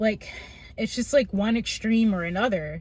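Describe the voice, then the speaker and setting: Somewhat breathy, a woman's voice moves with ordinary pitch variation. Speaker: vlogger. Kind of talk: personal vlog monologue. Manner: halting.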